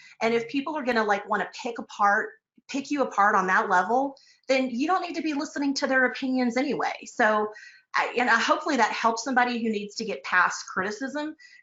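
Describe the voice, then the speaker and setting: In an American accent, a woman talks at a very fast pace with a high pitch and lively intonation. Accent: Texas twang, comes out sometimes. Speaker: real estate broker and finance author. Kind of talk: casual interview chat. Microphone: connection dropping.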